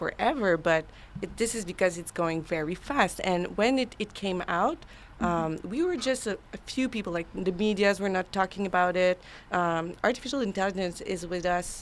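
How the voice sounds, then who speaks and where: Speaking in a Quebec accent, a woman uses a medium pitch with ordinary variation and keeps a moderate pace. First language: French. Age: 30s. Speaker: AI consultant. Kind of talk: casual interview chat. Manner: halting.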